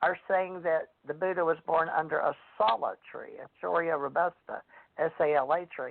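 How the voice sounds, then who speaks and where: A woman with a Southern US accent, a fairly low pitch and fairly even intonation. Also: moderate pace. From US South. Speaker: radio host and psychic author. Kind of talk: radio talk show chat.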